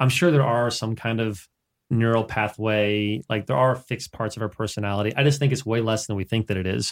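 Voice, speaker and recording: Recorded very cleanly against a silent background, with a dry, close sound and no echo, a man of medium pitch uses fairly even intonation in a normal speaking voice. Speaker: coach. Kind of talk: casual interview chat.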